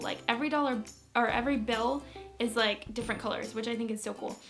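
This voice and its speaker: The speaker has an American accent and an upbeat tone. Music plays in the background. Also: woman. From Manchester, England; later USA. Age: young. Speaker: beauty and lifestyle vlogger. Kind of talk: casual talk to camera.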